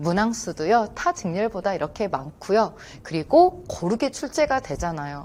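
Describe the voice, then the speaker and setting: At a moderate pace, a woman talks in a medium-pitched voice with very wide pitch swings. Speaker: Korean language exam instructor. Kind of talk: lecture.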